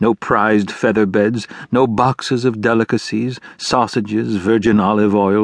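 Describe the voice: The words are read aloud plainly. Intonation holds fairly even.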